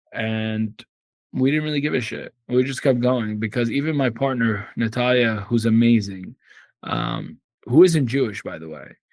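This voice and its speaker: Against a quiet background, a man with an Arabic accent talks at a moderate pace and medium pitch, with ordinary pitch variation and big swings in loudness. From Syria (Damascus). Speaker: immigration attorney and activist. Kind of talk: podcast interview. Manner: animated.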